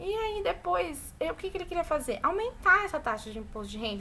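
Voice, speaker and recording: A woman speaks at a fairly quick pace in a raised, projected voice with very wide pitch swings. Room echo is audible. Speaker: teacher. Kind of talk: online class lecture.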